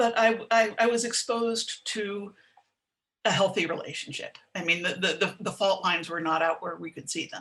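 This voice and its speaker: This is a woman at medium pitch with ordinary pitch variation. She has a plain, everyday voice. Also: moderate pace. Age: 60s. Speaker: writer and sex educator. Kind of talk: interview.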